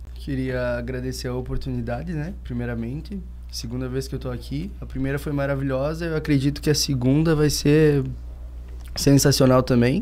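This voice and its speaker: Audible room echo follows a man as he speaks at a moderate pace. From southern Brazil, Santana do Livramento (Rio Grande do Sul). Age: 20s. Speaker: paralympic swimmer. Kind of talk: casual chat.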